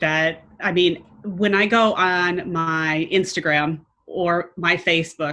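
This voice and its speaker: A woman in an American accent speaks at a fairly low pitch. Her tone is bright and sharp, and her intonation fairly even. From United States. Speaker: entrepreneur. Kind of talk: interview. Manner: loud.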